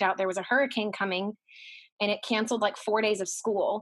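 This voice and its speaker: On a very clean recording with a silent background, a woman with an ordinary speaking voice talks at a fairly quick pace and fairly high pitch, her intonation fairly even. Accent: American. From Texas, Dallas. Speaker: former theme park character performer. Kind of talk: casual interview chat.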